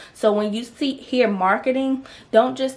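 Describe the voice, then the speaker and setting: A woman with ordinary pitch variation over noticeable background noise. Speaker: business podcaster and lash brand owner. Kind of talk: solo podcast monologue. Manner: fast; casual, chatty.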